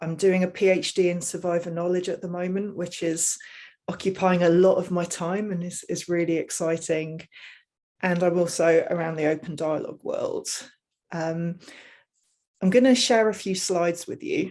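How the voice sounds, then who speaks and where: Against a quiet background, a woman with an English Midlands accent speaks at a moderate pace in a dark, mellow tone, fairly low in pitch with fairly even intonation. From England, Leicestershire. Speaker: mental health researcher and advocate. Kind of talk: presentation.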